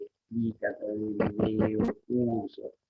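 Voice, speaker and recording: Over music in the background, a man speaks at a fairly slow pace with a medium pitch. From Rosario, Santa Fe, Argentina. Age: 60s. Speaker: Guaraní language and culture teacher. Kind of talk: interview. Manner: halting, many fillers and repetitions.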